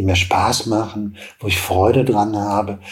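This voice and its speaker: Over noticeable background noise, a man talks at a fairly low pitch. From western Germany, Hagen. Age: old. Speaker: TV producer and entrepreneur. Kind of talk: interview.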